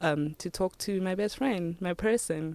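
In a very clean, dry, close recording with a silent background and no echo, a woman with a South African accent speaks at a fairly slow pace with ordinary pitch variation. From South Africa, Limpopo. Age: 20s. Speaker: church volunteer. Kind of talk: testimony.

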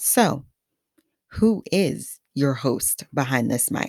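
A woman speaks in a Haitian accent with a very deep, low voice, vocal fry and lively intonation. Her pace is very slow, and the sound is dry and close with no echo. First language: Haitian Creole. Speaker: podcast host. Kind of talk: scripted podcast monologue. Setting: studio mic.

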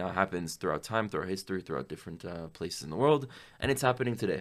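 Speaking at a very fast pace, a man with a very deep, low pitch uses lively intonation on a very clean recording with a silent background. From Miami, Florida. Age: 20s. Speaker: pro-Israel activist. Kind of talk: interview.

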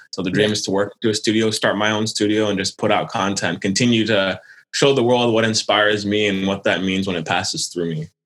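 A man with an American accent and a plain, everyday voice speaks at a fairly low pitch with fairly even intonation and hardly any pauses. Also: fairly quick pace. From Quebec, Canada, raised mainly in the US. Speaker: illustrator. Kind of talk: interview.

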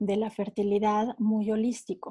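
In a dry, close sound with no echo, a woman with a fairly high pitch and a dark, mellow tone talks very slowly in a somewhat breathy voice. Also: very clean recording, silent background. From Mexico. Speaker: wellness coach. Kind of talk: interview.

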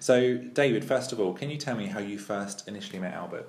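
Someone with an English accent talks at a very fast pace over noticeable background noise. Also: man. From England, Ipswich. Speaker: podcast host. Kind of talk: casual chat.

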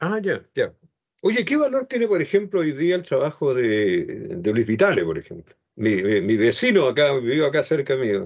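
Speaking with a Chilean accent at a moderate pace, a man's fairly high voice swings very widely in pitch. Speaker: radio host. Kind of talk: radio interview.

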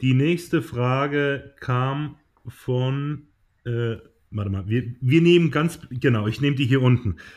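The man talks at a very slow pace. His pitch is medium. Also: ordinary pitch variation. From southern Germany. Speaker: podcast co-host, former handball goalkeeper. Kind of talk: casual chat. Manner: hesitant, many fillers.

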